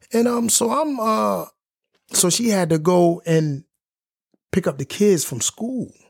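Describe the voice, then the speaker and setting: With long, frequent pauses, a man speaks at a fairly slow pace, his high voice swinging very widely in pitch. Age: 40s. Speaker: podcast co-host. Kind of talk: casual chat.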